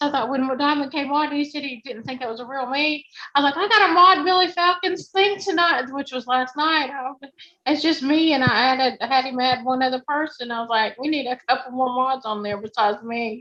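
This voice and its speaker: A woman's high-pitched, raised, projected voice moves at a fairly quick pace, bright and sharp in tone with ordinary pitch variation. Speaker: livestream moderator. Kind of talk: casual chat. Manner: loud.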